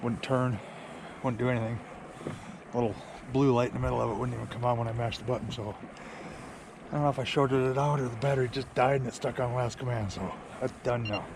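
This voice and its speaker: A man with a medium pitch talks at a very fast pace in a flat monotone, with long, frequent pauses and noticeable background noise. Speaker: kayak fishing vlogger. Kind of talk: casual vlog talk to camera. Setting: at home at night. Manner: quiet, hushed.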